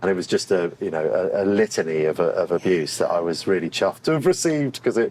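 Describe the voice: Low in pitch and slightly mellow in tone, a man speaks at a fairly quick pace with lively intonation.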